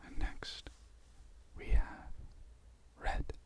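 The speaker is whispering in a relaxed tone. The pace is very slow. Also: man. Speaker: ASMR creator. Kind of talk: ASMR trigger video, casual talk to camera. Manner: soft, relaxed, whispery. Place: home room. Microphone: studio mic.

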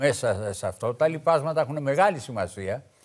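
An ordinary speaking voice, on a very clean recording with a silent background. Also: man. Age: 60s. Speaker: veteran left-wing politician. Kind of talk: political talk show debate.

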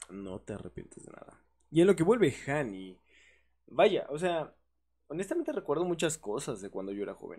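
A man with a Mexican accent has a dark, mellow tone, a fairly high pitch and vocal fry. His pitch swings very widely and his loudness shifts a lot. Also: moderate pace. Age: 20s. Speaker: podcast host and community manager. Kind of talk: casual chat.

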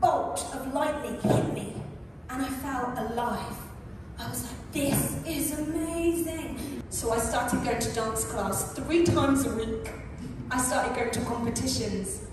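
Amid noticeable background noise and strong room echo, a woman speaks at a fairly slow pace in a high pitch with ordinary pitch variation. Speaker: speaker. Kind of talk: storytelling talk. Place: stage.

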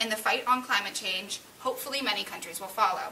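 A woman talks at a very fast pace. Light background noise can be heard. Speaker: student playing political candidate. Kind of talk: staged mock debate for class. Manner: formal. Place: classroom. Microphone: camera far.

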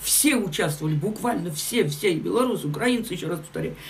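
Speaking fast with lively intonation, a woman uses a fairly low pitch with vocal fry. Audible room echo surrounds her voice.

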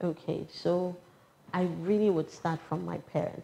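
In a Ghanaian accent, a woman speaks at a fairly slow pace with fairly even intonation. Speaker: public official. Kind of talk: interview. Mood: calm, warm, smiling. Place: office.

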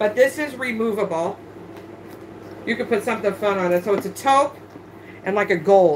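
The voice moves at a moderate pace with lively intonation and long, frequent pauses. Light background noise is present. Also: woman. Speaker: online handbag reseller. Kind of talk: live-stream sales show. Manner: loud. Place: home room. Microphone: phone near.

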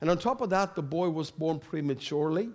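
Against a quiet background, a man speaks at a high pitch with a Swedish accent. His pitch variation is ordinary. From Sweden. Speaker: preacher. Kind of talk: sermon. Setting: church. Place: church. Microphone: headset.

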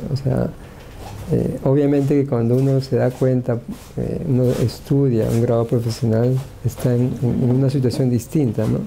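A man speaks at medium pitch and a moderate pace in a monotone, flat intonation. His loudness stays very even over light background noise. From Peru. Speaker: engineering professor. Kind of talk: talk at a workshop. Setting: workshop with audience. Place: office. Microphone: lapel.

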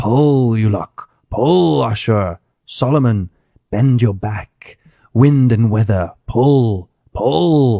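A man speaks at a very slow pace in a put-on character voice, hissing at a medium pitch. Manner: hissing, commanding.

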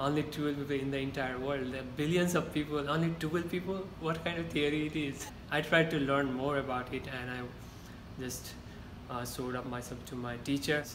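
With a Nepali accent, a man with a fairly high voice speaks at a moderate pace over noticeable background noise. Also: fairly even intonation. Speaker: university student. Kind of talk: interview answer. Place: meeting room. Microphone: camera far.

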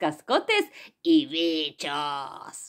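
A woman's pitch swings very widely as she talks. The background is quiet. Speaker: poet and poetry reader. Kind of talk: poetry reading aloud for children. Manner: soft, playful, hushed, confiding. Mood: playful, warm, animated. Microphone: phone near.

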